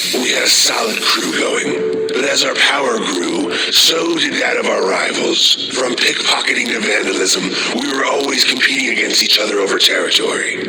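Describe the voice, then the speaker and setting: A man talks in a put-on character voice at a moderate pace. Loud background noise runs underneath. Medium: audio drama. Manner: somber, brooding.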